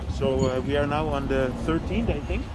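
A man's voice sounds dry, with no echo, amid loud background noise. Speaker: travel vlogger. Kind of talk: casual vlog chat. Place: car. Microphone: phone near.

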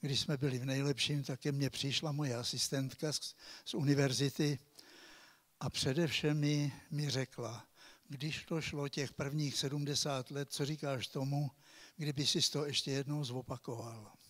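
A man speaks at a fairly slow pace with a fairly high, somewhat breathy voice and fairly even intonation, on a very clean recording with a silent background. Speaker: ecology professor. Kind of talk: lecture. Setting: stage with audience.

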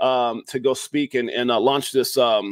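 In a dry recording with no echo and a quiet background, a man talks with fairly even intonation. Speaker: show host. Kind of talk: casual podcast chat. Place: home room.

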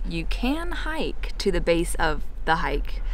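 A woman speaks with a dry sound and no echo while music plays in the background. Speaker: travel vlogger. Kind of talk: casual vlog chat. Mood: cheerful, relaxed. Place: open country. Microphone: phone near.

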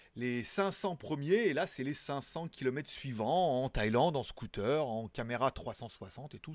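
A man talks with lively intonation. The sound is dry with no echo, and the background is quiet. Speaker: tech news show host. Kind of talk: casual news commentary. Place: home room. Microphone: studio mic.

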